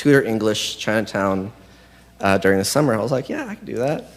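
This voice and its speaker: A man's medium-pitched voice with an American accent and ordinary pitch variation. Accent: sounds American. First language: Spanish. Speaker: confirmation candidate. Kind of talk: testimony. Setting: church. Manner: halting.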